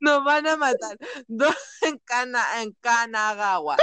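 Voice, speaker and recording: A woman with a Chilean accent speaks at a fairly slow pace in a high pitch. Her tone is bright and sharp, and her pitch varies in an ordinary way. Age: 30s. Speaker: podcast host. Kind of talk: casual chat. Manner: laughs often, overlapping talk.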